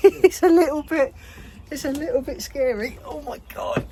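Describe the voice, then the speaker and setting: A man speaks in an English accent, keeping a fairly slow pace. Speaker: urban explorer, channel host. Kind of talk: casual talk to camera.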